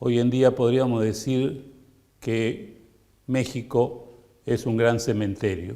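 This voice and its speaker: A man's dark, mellow voice at a medium pitch, very slow, with fairly even intonation. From Argentina. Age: 70s. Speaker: music publisher and documentary maker. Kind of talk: testimonial interview. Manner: hesitant with frequent fillers.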